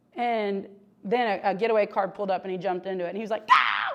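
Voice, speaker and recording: A woman speaks very fast with fairly even intonation, over noticeable background noise and audible room echo. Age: 30s. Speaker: pastor. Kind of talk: sermon. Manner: conversational.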